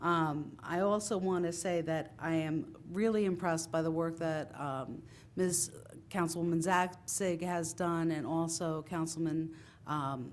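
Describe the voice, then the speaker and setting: Spoken with a New Jersey accent at a fairly slow pace, the intonation stays fairly even. Audible room echo surrounds the voice. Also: woman, fairly low pitch for a woman. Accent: New Jersey American. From Italian-American, New Jersey. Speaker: town councilwoman. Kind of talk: council meeting remarks. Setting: council chamber with audience. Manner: loud.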